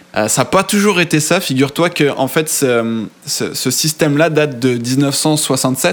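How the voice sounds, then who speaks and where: Fairly slow speech from a man, pitched fairly high, with ordinary pitch variation. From Europe. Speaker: podcast host. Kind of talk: casual chat.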